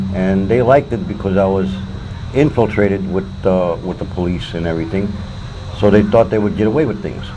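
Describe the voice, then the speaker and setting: A man with an American accent talks at a fairly quick pace and ordinary pitch variation. Noticeable background noise and audible room echo surround his voice. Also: fairly low pitch for a man. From Detroit, Michigan. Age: 60s. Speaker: homeless man. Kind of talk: interview.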